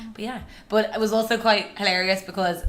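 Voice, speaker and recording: With an Irish accent and a bright, sharp tone, a woman talks at a moderate pace amid audible room echo. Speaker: podcast co-host. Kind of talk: casual chat. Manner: loud.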